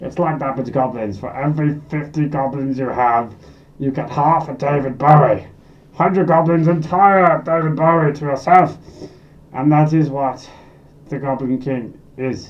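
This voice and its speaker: Using a put-on character voice, a man talks at a moderate pace and a fairly high pitch. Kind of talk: comic character monologue. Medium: solo performance. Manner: rambling, excitable, self-deprecating.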